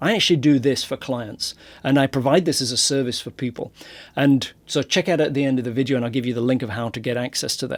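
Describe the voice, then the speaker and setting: In a very clean recording with a silent background, a man talks at a very fast pace in a medium pitch. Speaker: SEO consultant. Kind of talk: tutorial. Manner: animated.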